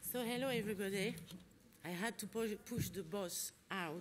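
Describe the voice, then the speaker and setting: Audible room echo surrounds a woman as she speaks. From France. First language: French. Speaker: conference facilitator. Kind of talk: conference opening remarks. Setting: conference hall with audience and interpretation.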